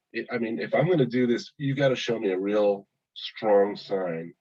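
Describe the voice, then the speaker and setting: The intonation is lively. The pace is moderate. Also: man. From Oakland, California. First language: not English. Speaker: police deputy. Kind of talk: testimony.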